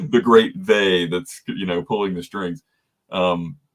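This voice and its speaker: Speaking in a Southern US accent, a man uses a very deep, low pitch with ordinary pitch variation. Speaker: podcast host. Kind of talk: casual interview chat.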